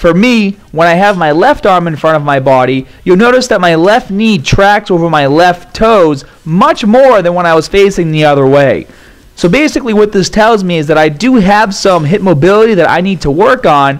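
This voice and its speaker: With lively intonation, a man talks at a moderate pace over a quiet background. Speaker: fitness trainer. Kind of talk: tutorial.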